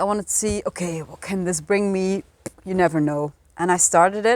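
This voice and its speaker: Speaking at a fairly quick pace, a woman talks with a Flemish Belgian accent. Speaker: energy healing practitioner and author. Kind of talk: interview, casual chat.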